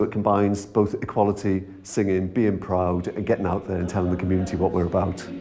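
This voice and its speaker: This man has a Welsh accent and a very deep, low pitch, speaking at a very fast pace with hardly any pauses. His intonation is monotone and flat over noticeable background noise. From Wales, Welsh-speaking. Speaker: choir member. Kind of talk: interview testimony.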